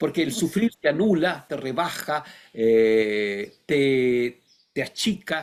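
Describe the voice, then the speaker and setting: Very slow delivery from a man, with pitch leaping across a very wide range. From Chile. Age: 60s. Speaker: philosopher and writer. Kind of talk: interview. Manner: halting, many fillers; reflective.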